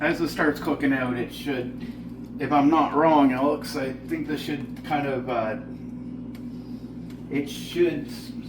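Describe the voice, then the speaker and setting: Amid noticeable background noise and audible room echo, a man with a Newfoundland accent speaks at a very slow pace, leaving long, frequent pauses. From Newfoundland, Canada. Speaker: home cooking show host. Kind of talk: cooking tutorial. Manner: casual, frequent filler words.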